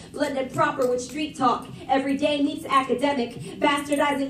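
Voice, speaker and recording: A woman speaks at a moderate pace in a high voice, with audible echo from the room. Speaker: slam poet. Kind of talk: spoken word performance. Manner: rhythmic, animated.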